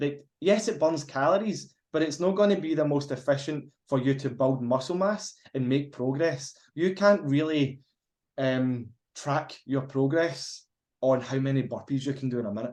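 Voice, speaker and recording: A man with a Glaswegian accent and a fairly high-pitched voice. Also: ordinary pitch variation, moderate pace. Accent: Glaswegian Scottish. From Scotland, Glasgow. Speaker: fitness podcast co-host. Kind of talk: casual chat. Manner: halting at times.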